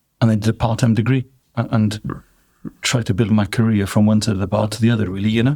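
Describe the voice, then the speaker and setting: A man with a Welsh accent talks very fast in a fairly low, dark, mellow voice. His intonation stays monotone and flat. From South Wales. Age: 60s. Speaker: drinks business owner. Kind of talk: interview.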